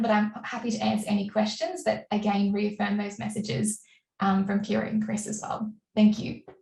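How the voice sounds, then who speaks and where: A woman with an Australian accent speaks at a moderate pace in a medium-pitched, somewhat breathy voice with fairly even intonation. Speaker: diplomat. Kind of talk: panel presentation. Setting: webinar.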